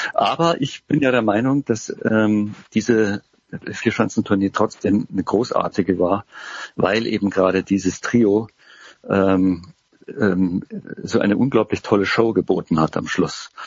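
Here a man talks at a fairly low pitch with ordinary pitch variation. His loudness stays very even. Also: fairly slow pace. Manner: halting.

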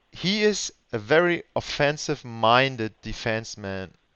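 A man with a German accent. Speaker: podcast host. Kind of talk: interview. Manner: halting.

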